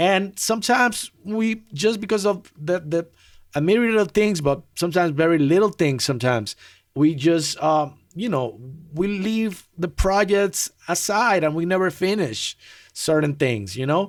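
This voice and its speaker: Here a man speaks with a high pitch. His intonation is lively and his pace moderate. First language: not English. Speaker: music producer, live streamer. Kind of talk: casual live stream talk. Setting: live stream. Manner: halting, many fillers and restarts.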